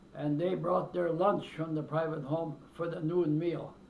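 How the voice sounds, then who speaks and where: In a room with audible echo, a man talks in a fairly high voice. His delivery is fairly slow and monotone, with flat intonation. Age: 90s. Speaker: elderly interviewee recounting his life. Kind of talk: oral history interview. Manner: halting, with hesitations.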